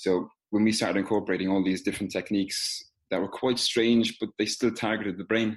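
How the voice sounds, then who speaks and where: With an Irish accent, a man speaks at a fairly quick pace in a fairly low, monotone, flat voice. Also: quiet background. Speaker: physical therapist. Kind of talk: casual interview.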